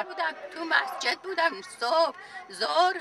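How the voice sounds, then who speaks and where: A woman speaks in a raised, projected voice. Crowd noise fills the background. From Iran. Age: 80s+. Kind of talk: interview answer. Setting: outdoors.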